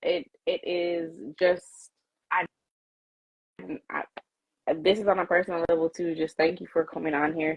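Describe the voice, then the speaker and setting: A woman's moderate-paced speech in a strong Jamaican accent, with monotone, flat intonation. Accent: Jamaican, came out strong. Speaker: live show host, interviewer. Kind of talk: casual live-stream interview.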